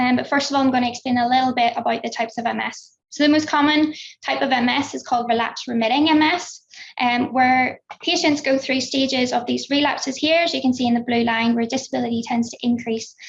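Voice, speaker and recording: A woman speaks very fast with a Belfast accent. Her voice is high and her intonation fairly even. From Northern Ireland, Belfast. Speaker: researcher. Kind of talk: conference talk. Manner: hesitant with frequent fillers.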